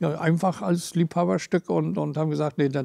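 A man talks at a moderate pace with lively intonation in a fairly high voice with a dark, mellow tone. The sound is dry with no echo. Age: 70s. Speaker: retired construction worker. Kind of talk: interview testimony. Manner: hesitant, with fillers. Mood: fond, relaxed.

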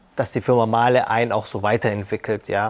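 Fairly even intonation runs through this man's speech. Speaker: sales support employee. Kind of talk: corporate interview. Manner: casual with filler words. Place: hall. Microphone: lapel.

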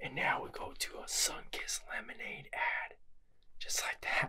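A man is whispering. His pace is fairly slow. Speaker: vintage magazine reviewer. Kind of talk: casual vlog chat. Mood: amused, lightly sarcastic.

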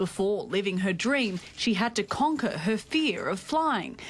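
An ordinary speaking voice from a woman, fairly high in pitch, fairly slow, with lively intonation and a quiet background. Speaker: TV news reporter. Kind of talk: TV news report.

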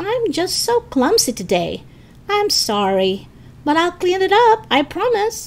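A woman does a put-on character voice at an extremely high pitch, speaking fairly slowly over light background noise. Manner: fake innocent, apologetic.

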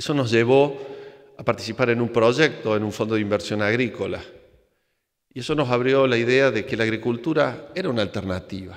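Against a quiet background, a man speaks at a moderate pace. His pitch variation is ordinary. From Argentina, Córdoba; Argentina. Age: 50s. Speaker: engineer and entrepreneur, conference speaker; speaker. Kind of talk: conference talk. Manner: hesitant, with fillers. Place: hall. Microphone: podium.

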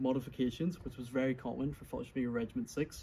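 With noticeable background noise around him, a man speaks fairly quickly. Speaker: reenactor showing his kit. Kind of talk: casual explanatory show-and-tell. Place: garden. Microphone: phone near.

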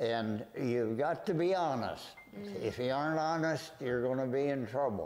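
Music sits in the background as a man talks at a moderate pace. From South Dakota, USA. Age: 100 years old. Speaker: World War Two veteran, retired home builder. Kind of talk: interview answer. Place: home room. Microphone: lapel.

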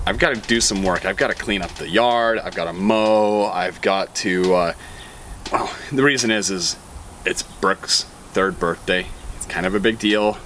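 With an ordinary speaking voice, a man talks at a moderate pace and fairly low pitch, his intonation fairly even, over light background noise. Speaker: vlogger. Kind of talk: casual vlog chat. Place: open country.

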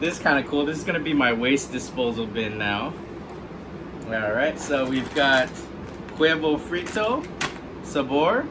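A man with a fairly high pitch and lively intonation, long, frequent pauses and noticeable background noise. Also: fairly slow pace. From Hawaii. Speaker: food writer and blogger, unboxing video host; unboxing vlogger. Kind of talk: casual unboxing vlog; casual vlog chat. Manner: hesitant, many filler words. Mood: cheerful, curious. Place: home room. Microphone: camera far.

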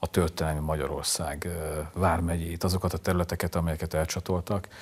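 A man's very deep, low voice sounds somewhat breathy, with monotone, flat intonation. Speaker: literary show host. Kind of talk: interview. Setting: studio. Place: studio. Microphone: lapel.

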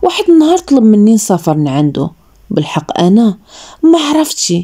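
Her voice is fairly high for a woman, dark and mellow in tone, somewhat breathy, and swings very widely in pitch. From Morocco. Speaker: storyteller. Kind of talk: first-person story narration.

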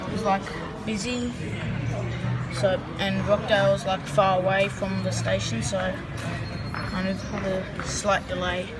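A man speaks at a very slow pace, leaving long, frequent pauses. Music plays clearly in the background. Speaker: train enthusiast vlogger. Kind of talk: casual vlog chat. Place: station. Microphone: phone near.

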